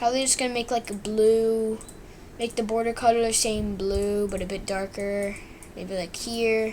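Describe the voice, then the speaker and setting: A woman's fairly high voice at a fairly slow pace, with fairly even intonation. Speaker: coding tutorial youtuber. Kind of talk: tutorial. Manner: halting.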